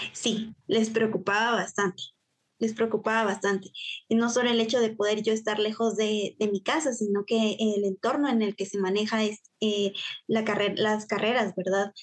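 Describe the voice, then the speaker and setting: A woman with a fairly high pitch and monotone, flat intonation, at a moderate pace with big swings in loudness. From Guatemala, Huehuetenango. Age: 20s. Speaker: university student and youth volunteer. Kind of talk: interview.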